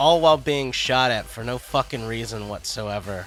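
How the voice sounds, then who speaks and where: Music runs in the background while a man speaks at a moderate pace. His pitch is medium and his intonation lively. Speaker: video game reviewer. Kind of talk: scripted video game review narration. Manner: profane, sarcastic.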